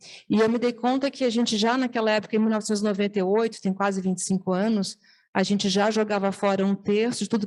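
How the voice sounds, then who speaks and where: A woman at a fairly quick pace, dark and mellow in tone, monotone and flat, on a very clean recording with a silent background. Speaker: nonprofit founder. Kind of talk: testimony. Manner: fast; hesitant, many fillers and restarts.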